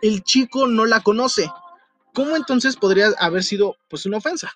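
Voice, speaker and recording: A man with a Mexico City accent talks at a moderate pace with a high pitch, lively intonation and an animated tone. He leaves long, frequent pauses, and the sound is dry and close, with no echo. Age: young. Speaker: podcast host. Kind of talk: casual chat.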